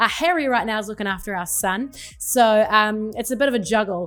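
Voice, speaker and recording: Someone with a New Zealand accent speaks at a fairly quick pace with lively intonation. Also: woman. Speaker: pastor and podcast host. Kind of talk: podcast monologue.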